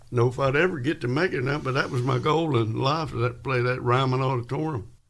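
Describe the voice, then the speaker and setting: Through noticeable background noise, a man speaks with a Kentucky accent. His medium-pitched voice varies in pitch in an ordinary way. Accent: US Southern, Kentucky. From West Kentucky. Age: 80s+. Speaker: country and rockabilly musician. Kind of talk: casual interview. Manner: halting.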